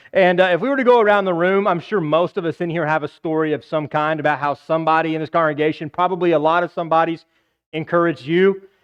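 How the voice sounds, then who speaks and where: Loud and high-pitched, a man rattles along at a very fast pace. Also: ordinary pitch variation. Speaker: preacher. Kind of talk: sermon. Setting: church.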